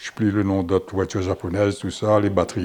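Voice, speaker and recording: A man's voice sits fairly low in pitch. Music runs behind him. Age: 80s+. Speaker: interviewee. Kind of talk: interview. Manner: halting.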